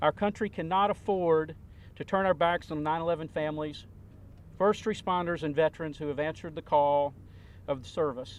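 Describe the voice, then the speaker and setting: The man's pitch is fairly high, with ordinary variation. He speaks at a fairly quick pace. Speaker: veterans advocate. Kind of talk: prepared speech at press conference. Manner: formal.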